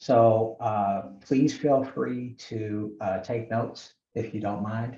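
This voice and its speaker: Very slow and somewhat breathy, the speech has a dark, mellow tone, fairly even intonation and audible room echo. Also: man, medium pitch for a man. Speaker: professor. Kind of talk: lecture.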